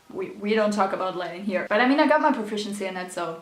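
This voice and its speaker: A woman talks at a very fast pace amid audible room echo and noticeable background noise. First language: German. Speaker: youtuber, teacher in training. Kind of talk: casual vlog tips. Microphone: bad audio quality, mic battery dead.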